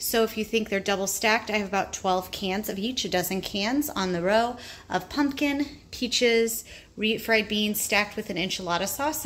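The delivery has a moderate pace and ordinary pitch variation. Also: woman. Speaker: home food storage vlogger. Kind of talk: casual tour narration. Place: home room. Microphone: phone near.

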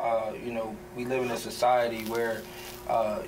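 Noticeable background noise sits behind a man talking at medium pitch with ordinary pitch variation. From Wilmington, Delaware. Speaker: podcast host. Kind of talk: interview. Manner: halting. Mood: calm, thoughtful. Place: studio.

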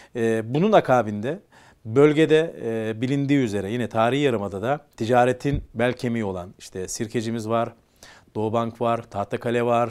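A quiet background behind a man talking at a moderate pace. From Istanbul, Turkey (Kumkapı); Istanbul. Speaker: business association leader; guest. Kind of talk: interview. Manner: hesitant, many fillers. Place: studio. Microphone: lapel.

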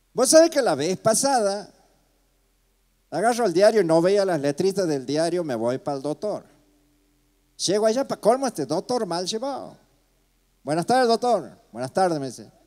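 Against a quiet background, a man speaks at a moderate pace with a high pitch, a dark, mellow tone, very wide pitch swings and long, frequent pauses. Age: 60s. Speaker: comedian. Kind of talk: stand-up. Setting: stage with audience. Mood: playful, humorous. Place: stage.

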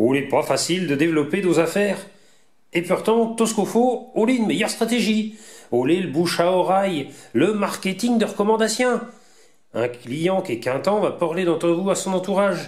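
Speaking at a moderate pace with a Vendée accent, a man uses a high pitch and lively intonation. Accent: Vendée patois. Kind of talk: promotional presentation narration.

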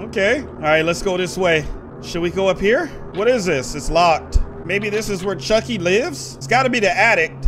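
A man talks at a moderate pace while faint music sounds behind him. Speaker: gamer. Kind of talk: gameplay commentary.

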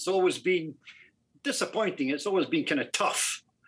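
With a Scottish accent, a man speaks in a bright, sharp tone at a high pitch. His intonation is lively over a quiet background. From Scotland, far north near John O'Groats; Scotland. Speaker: caller. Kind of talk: phone-in question. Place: home room. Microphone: video call.

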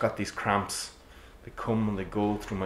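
A plain reading aloud.

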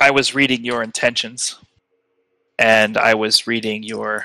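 A man puts on a character voice, gravelly and at a medium pitch. He keeps a moderate pace. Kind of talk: solemn fantasy elder. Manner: measured, courteous, grave.

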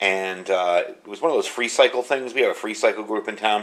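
A man talks at a fairly quick pace with a quiet background behind him. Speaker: product reviewer. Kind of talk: tutorial. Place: home room.

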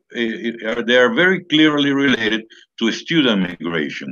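A man at a fairly slow pace against a quiet background. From Venezuela. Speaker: academic researcher; presenter. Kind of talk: panel presentation. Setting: video call. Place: home room. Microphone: webcam.

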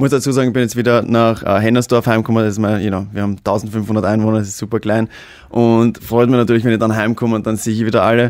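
Against a quiet background, a man races along at a very fast pace, his medium pitch in monotone, flat intonation, the sound dry with no echo. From Austria. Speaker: actor and social media star; actor. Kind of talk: casual chat. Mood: cheerful, moved at end. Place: studio. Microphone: studio mic.

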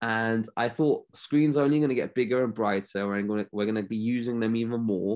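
Against a quiet background, a man with a London accent talks at a fairly quick pace. His pitch is medium and his intonation fairly even. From London, England. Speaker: optometrist. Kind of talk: interview. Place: home room. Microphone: video call.

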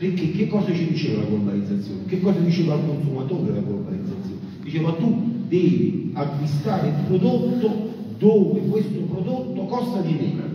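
A high-voiced man speaks amid strong room echo and light background noise. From Campania, Sele plain. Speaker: farmer and agricultural association leader. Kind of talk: conference speech. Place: hall.

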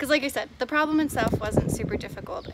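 Dry sound with no echo, noticeable background noise, and a woman speaking. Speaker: climbing vlogger. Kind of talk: casual vlog chat. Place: street. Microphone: phone near.

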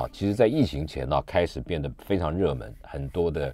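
A man's voice with very wide pitch swings, dry with no echo. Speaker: radio show host. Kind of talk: radio host introduction. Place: studio.

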